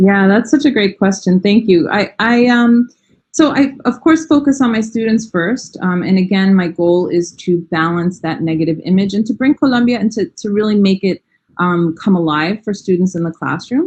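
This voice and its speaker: Her American accent and medium pitch paired with lively intonation, a woman speaks at a moderate pace in a somewhat breathy voice. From New York. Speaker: language educator. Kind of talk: interview.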